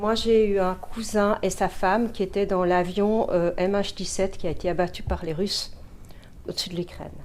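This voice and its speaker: A woman with a Dutch accent speaks at medium pitch and a moderate pace, her intonation monotone and flat. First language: Dutch (speaking French). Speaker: mediumship student. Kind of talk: testimony.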